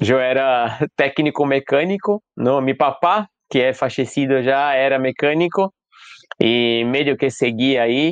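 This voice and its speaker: A man with a Brazilian accent talks at a very slow pace in a fairly high voice with ordinary pitch variation. The sound is dry and close with no echo, against a quiet background. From Brazil, São Paulo. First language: Portuguese (speaking Spanish). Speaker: mask maker and theatre artist. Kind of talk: interview. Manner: hesitant, with fillers.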